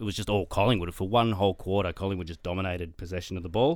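Recorded very cleanly against a silent background, a man with an Australian accent speaks at a very fast pace with ordinary pitch variation. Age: 40s. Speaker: sports statistician. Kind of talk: casual chat. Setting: studio.

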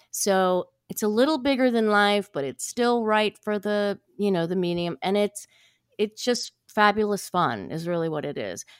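Recorded dry and close with no echo, a woman speaks at a moderate pace with ordinary pitch variation. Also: medium pitch for a woman, very clean recording, silent background. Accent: American. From US Midwest (Ohio). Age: 60s. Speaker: actress. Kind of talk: casual interview. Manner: animated.

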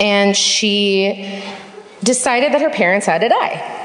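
Noticeable background noise sits behind a woman speaking at a fairly slow pace with ordinary pitch variation. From Marin County, Northern California. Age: 30s. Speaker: audience member telling a story. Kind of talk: reading prepared story aloud. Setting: theater stage with live audience.

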